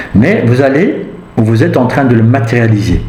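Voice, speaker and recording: A man speaks at medium pitch. Noticeable background noise and audible room echo surround his voice. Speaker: tarot reader. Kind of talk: tarot reading. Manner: halting.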